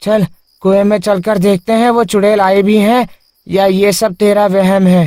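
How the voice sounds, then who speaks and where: In a cartoonish character voice, a man speaks at a high pitch and moderate pace with monotone, flat intonation, recorded dry and close with no echo. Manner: scornful, laughing.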